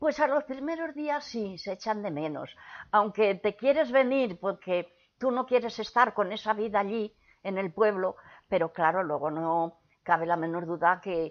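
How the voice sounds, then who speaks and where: A woman at a fairly slow pace, her pitch swinging very widely. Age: 80s+. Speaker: grandmother recalling the Spanish Civil War era. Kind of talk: interview answer.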